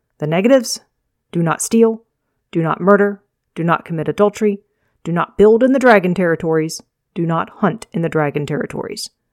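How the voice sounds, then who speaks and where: Fairly low in pitch, a woman talks at a fairly quick pace with ordinary pitch variation and a normal speaking voice. The sound is dry and close, with no echo. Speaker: fantasy author reading own novel. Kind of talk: audiobook-style reading of a fantasy novel chapter, with dialogue between characters. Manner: measured, storyteller delivery with voiced character dialogue; chatty, upbeat intro.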